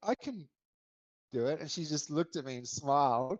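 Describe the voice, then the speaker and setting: A man's fairly high voice at a moderate pace, with an Australian accent. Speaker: podcaster and hip hop lyricist. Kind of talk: podcast interview.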